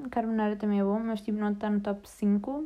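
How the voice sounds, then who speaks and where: A woman's dark, mellow, fairly high voice in a European Portuguese accent, monotone and flat, at a moderate pace. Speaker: podcast host. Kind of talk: casual chat.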